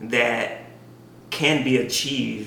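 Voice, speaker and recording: Noticeable background noise sits under a man's voice. He speaks at a medium pitch and a very slow pace. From Mississippi Delta. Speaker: faith podcast co-host. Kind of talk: casual conversation on faith and race; prayer.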